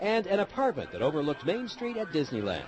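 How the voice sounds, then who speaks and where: Despite noticeable background noise, a man can be heard at a fairly quick pace with very wide pitch swings. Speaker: TV news reporter. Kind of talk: TV news report voiceover.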